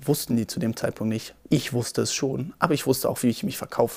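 At a fairly quick pace, a man speaks in a somewhat breathy voice with ordinary pitch variation. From Berlin. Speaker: photographer and videographer. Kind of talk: casual storytelling.

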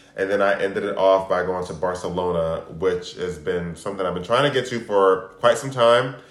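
Pitched very deep and low, a man talks at a fairly quick pace with hardly any pauses and ordinary pitch variation, with audible room echo. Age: 40s. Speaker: podcast co-host. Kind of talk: casual chat.

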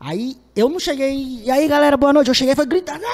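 A man speaks at an extremely high pitch and a fairly quick pace. Noticeable background noise comes through behind him. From Fortaleza, Ceará, Brazil. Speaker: comedian and digital influencer. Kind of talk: casual chat.

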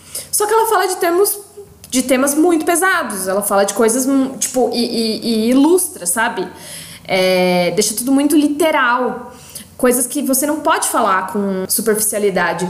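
Amid noticeable background noise and audible room echo, a high-pitched woman speaks at a moderate pace with very wide pitch swings. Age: 20s. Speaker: podcast co-host, content producer. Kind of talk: casual chat.

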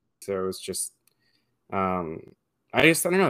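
The recording is very clean, with a silent background. A man with an American accent speaks at a moderate pace in a fairly low pitch. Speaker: podcast host. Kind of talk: casual chat.

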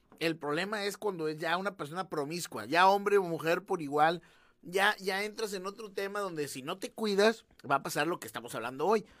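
Recorded very cleanly against a silent background, a man speaks with a high pitch. His pace is fairly quick and his pitch variation ordinary. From northern Mexico, Allende. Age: 30s. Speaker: podcast co-host. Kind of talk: casual chat.

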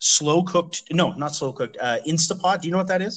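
A man talks with a Canadian accent. His tone is bright and sharp. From Canada, London, Ontario. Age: 30s. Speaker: podcast host. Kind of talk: casual chat. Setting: long-distance online call.

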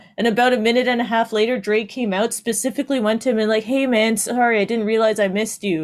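At a very fast pace with hardly any pauses, a woman speaks in a fairly high pitch, with fairly even intonation and very even loudness. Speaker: podcast co-host, works in film and TV. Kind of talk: casual chat.

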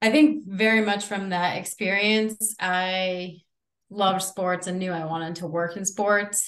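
In an American accent, a woman with a normal speaking voice at a medium pitch talks at a moderate pace with fairly even intonation. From Connecticut. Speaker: college athletics administrator. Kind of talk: interview.

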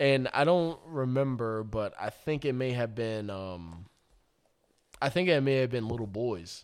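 A man's normal speaking voice in an American accent, medium in pitch, fairly slow, with ordinary pitch variation. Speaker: podcast guest. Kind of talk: casual chat. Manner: laughs often.

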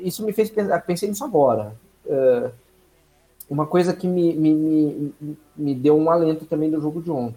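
Long, frequent pauses from a man with a dark, mellow tone, a fairly high pitch and ordinary pitch variation. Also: moderate pace. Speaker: NFL fan commentator. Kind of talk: casual sports talk.

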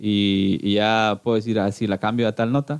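The pace is fairly slow. A man speaks with a Guatemalan accent. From Guatemala, Cuilapa, Santa Rosa. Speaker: church music group singer. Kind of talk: casual interview.

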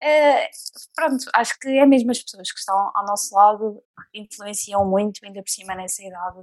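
In a normal speaking voice, a woman speaks at a moderate pace and medium pitch with ordinary pitch variation and big swings in loudness. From Portugal, near Leiria. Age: 20s. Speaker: guest with coeliac disease. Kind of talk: casual chat.

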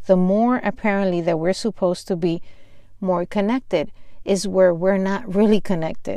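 Speaking with a Spanish accent, a woman has a dark, mellow tone at a medium pitch. Her intonation stays fairly even, and her pace is moderate. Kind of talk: devotional teaching.

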